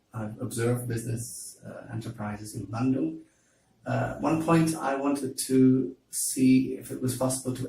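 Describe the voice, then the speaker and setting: In a Dutch accent, a man speaks at a moderate pace and medium pitch, somewhat breathy, with a dark, mellow tone. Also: big swings in loudness. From Netherlands, Amsterdam. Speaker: university lecturer. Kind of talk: interview. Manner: hesitant, many fillers.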